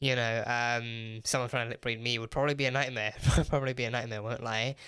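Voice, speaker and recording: A man speaks with a British accent. His tone is bright and sharp. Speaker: TV reaction youtuber. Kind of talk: casual review monologue. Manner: halting, many repetitions.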